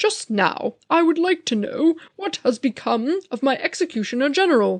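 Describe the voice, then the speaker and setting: Using a put-on character voice, a woman talks high in her range at a moderate pace. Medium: read story. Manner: formal, regal.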